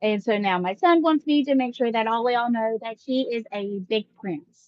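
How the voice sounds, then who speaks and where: Speaking at a fairly slow pace, a woman with an American accent uses lively intonation. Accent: Mississippi twang, toned down. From US South, Mississippi. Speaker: live-stream vlogger. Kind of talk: casual chat. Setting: home live stream with kids around. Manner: deliberately more professional.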